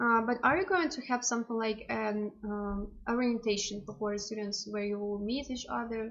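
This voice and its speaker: A woman with a Russian accent and a fairly high pitch, at a moderate pace with hardly any pauses and ordinary pitch variation. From Russian Far East. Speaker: language student. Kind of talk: casual chat.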